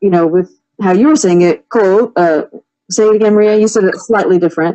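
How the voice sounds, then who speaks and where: With a Californian accent, a woman talks at medium pitch with ordinary pitch variation. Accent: California. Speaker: podcast co-host. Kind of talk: casual chat.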